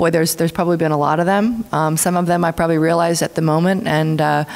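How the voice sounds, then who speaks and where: A woman talks in a very deep, low voice with monotone, flat intonation. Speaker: speaker. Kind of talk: panel answer. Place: hall. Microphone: podium.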